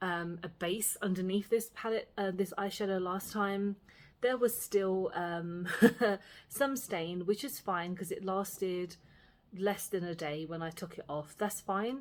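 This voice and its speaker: A woman with a Cockney accent speaks fairly slowly at a medium pitch, with ordinary pitch variation. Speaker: beauty vlogger. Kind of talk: makeup tutorial and review chat. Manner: casual, filler-heavy.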